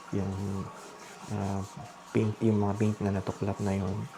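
Monotone, flat intonation from a man with a fairly low pitch at a fairly slow pace, with noticeable background noise. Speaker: vlogger. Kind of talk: casual vlog narration. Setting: at home at night. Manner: hushed, lowered voice.

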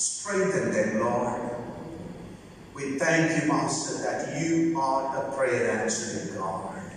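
A woman with a very deep, low pitch speaks at a very slow pace, with strong room echo and light background noise. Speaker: prayer leader in a migrant worker church. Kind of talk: fervent closing prayer and benediction at a church service. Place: church. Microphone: podium.

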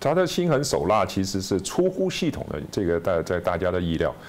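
Very wide pitch swings from a man, fairly quick in pace. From China. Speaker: author and former businessman; guest. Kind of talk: interview. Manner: halting with repetitions. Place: studio. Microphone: lapel.

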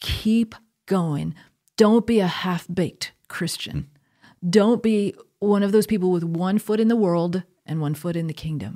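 A woman's dark, mellow voice with an American accent, a fairly slow pace, ordinary pitch variation and a quiet background. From US Northeast, Connecticut. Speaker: theology professor. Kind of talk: conversational interview on faith; interview answer. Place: studio. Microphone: studio mic.

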